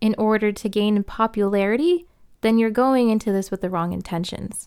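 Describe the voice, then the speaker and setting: A woman with a plain, everyday voice and a fairly high pitch speaks at a moderate pace on a very clean recording with a silent background. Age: 20s. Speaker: podcast host. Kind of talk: casual solo podcast talk. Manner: frequent laughter.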